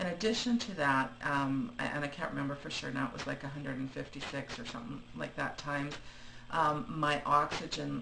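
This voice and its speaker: The speech moves at a moderate pace while background noise is noticeable. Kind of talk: casual video diary talk to camera. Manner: hesitant, many fillers; rambling.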